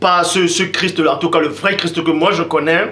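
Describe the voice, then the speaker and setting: Speaking high, a man's voice carries audible room echo along with noticeable background noise. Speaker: religious preacher. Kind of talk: sermon.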